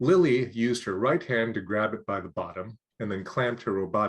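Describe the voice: Over a quiet background, the text is read aloud plainly with ordinary pitch variation.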